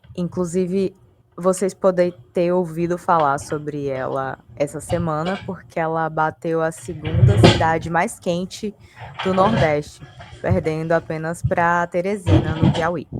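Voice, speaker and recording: Music plays in the background as a woman speaks at a fairly slow pace. Her pitch is fairly low, with ordinary pitch variation. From Brazil, western Bahia. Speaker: graduate researcher presenting dissertation. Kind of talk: academic presentation. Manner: halting, many fillers.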